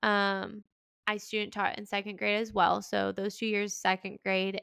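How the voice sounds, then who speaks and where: A woman with an American accent, medium pitch and a bright, sharp tone, in a dry, close sound with no echo on a very clean recording with a silent background. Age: 20s. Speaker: podcast host and teacher. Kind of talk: casual chat.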